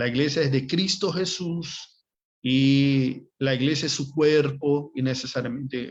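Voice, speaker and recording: A man's very slow speech in a Brazilian accent, fairly high in pitch, with fairly even intonation. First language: Portuguese (speaking Spanish). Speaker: Bible course teacher. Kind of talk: online class lecture. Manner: halting, with fillers and repetitions.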